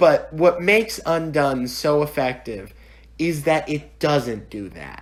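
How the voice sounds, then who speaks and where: A man's fairly high voice at a very slow pace, with lively intonation and big swings in loudness. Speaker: online TV reviewer. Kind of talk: solo review monologue. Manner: casual, conversational; stuttering at times.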